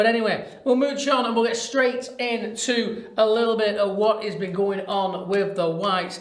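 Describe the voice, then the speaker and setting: Speaking with a Lancashire accent, a man with a high pitch talks at a moderate pace with fairly even intonation and hardly any pauses, with audible room echo and noticeable background noise. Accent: northern English (Lancashire). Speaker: football podcast host. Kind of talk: casual chat.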